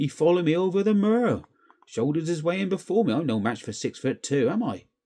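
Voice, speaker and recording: A man puts on a growling character voice with a high pitch and very wide pitch swings. He speaks at a very fast pace. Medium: read story. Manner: growling, sulky.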